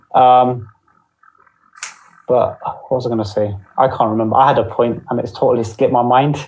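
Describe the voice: A man speaks with little pitch movement amid audible room echo. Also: medium pitch for a man, moderate pace.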